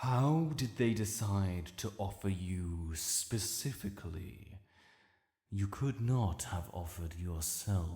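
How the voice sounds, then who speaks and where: A man speaks slowly-ish in a put-on character voice with a fairly low pitch, on a very clean recording with a silent background. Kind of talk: audio roleplay. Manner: slow, commanding.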